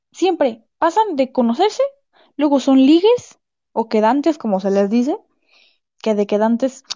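A woman with a Mexican accent speaks at a fairly slow pace, taking long, frequent pauses. Her high pitch swings very widely. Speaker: podcast host. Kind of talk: casual chat. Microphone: new recording app.

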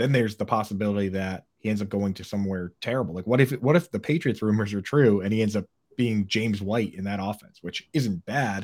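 Speaking at a very fast pace, a man with a fairly low pitch sounds animated, his pitch varying in an ordinary way. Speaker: fantasy football podcast host. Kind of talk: casual chat, live draft. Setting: online video stream with live chat. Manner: animated, fast talker, jokey.

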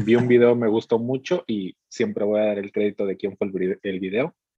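At a moderate pace and medium pitch, a man speaks with ordinary pitch variation. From Mexico, Veracruz. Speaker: music videographer. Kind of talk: casual interview.

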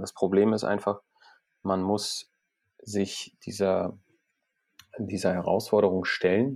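A man speaks at a fairly slow pace in a fairly low voice. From Iran. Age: 30s. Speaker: entrepreneur. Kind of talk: interview.

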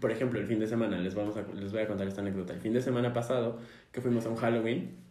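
A man with a Mexico City accent, fairly low-pitched, dark and mellow in tone, with fairly even intonation and audible room echo. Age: 20s. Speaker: podcast co-host, engineering student. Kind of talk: casual chat.

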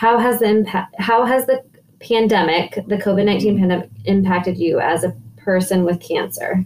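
A woman with an unremarkable speaking voice, medium pitch, ordinary pitch variation, very even loudness and a moderate pace. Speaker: oncology social worker interviewer. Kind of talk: casual interview conversation.

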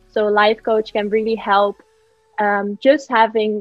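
A woman at a moderate pace with a fairly high pitch. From Netherlands. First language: Dutch. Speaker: life coach. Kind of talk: interview. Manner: hesitant, many fillers.

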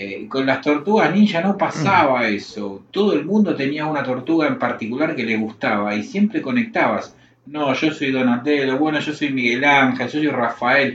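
A man with a Rioplatense accent talks at a moderate pace, his fairly high pitch carried by lively intonation. He hardly pauses, and noticeable background noise runs underneath. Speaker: podcast host. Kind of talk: casual chat.

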